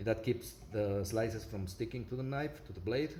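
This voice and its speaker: Recorded with audible room echo, a man speaks at a moderate pace in a fairly low pitch with ordinary pitch variation. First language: not English. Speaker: product reviewer. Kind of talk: product review with demonstration. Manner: halting, many fillers.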